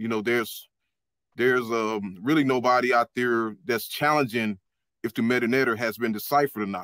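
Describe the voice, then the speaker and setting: The speech moves at a moderate pace. The sound is dry with no echo, over a quiet background. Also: man. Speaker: caller. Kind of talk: casual chat. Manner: frequent fillers like you know. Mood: dismissive, critical of others. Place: home room. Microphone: webcam.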